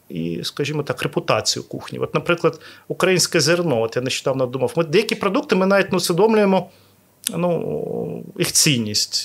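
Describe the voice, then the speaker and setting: Using vocal fry, a man speaks at a fairly quick pace with very wide pitch swings. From Ukraine, Odesa. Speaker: restaurateur. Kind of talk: interview. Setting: hotel restaurant recording.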